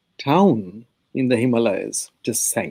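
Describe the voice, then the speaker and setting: A man's dark, mellow tone at a medium pitch, with a Bengali accent. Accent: Indian (Bengali) English. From India, Bengal. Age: 70s. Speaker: history professor, author. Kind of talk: interview. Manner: halting, many fillers.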